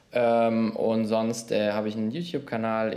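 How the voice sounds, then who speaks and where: A man with a fairly low voice is heard with audible room echo around him. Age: 20s. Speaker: management consultant and YouTuber. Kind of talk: casual chat.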